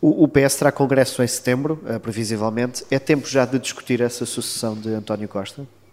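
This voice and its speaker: Over noticeable background noise, a man talks at a fairly quick pace with hardly any pauses, a medium pitch and fairly even intonation. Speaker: political journalist. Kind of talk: interview.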